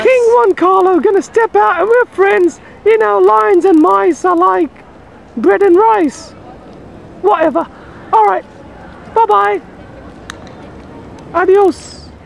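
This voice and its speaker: A man does a cartoonish character voice at an extremely high pitch, going fairly slowly with long, frequent pauses. Background noise is clearly heard. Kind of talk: comic puppet voice. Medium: puppet show. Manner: cheeky, boastful, chatty.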